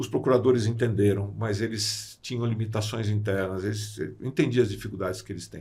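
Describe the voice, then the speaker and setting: A man speaks at a fairly low pitch with vocal fry. His intonation stays fairly even while his loudness swings widely. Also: fairly quick pace. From Brazil, São Paulo state interior (Sorocaba). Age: 60s. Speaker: construction lawyer and arbitrator. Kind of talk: podcast interview. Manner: hesitant fillers (eh, né).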